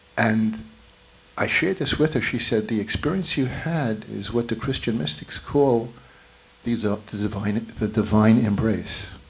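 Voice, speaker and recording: At a fairly slow pace, a man talks at a medium pitch with ordinary pitch variation over noticeable background noise. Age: 70s. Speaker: spiritual gathering participant. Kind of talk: testimony.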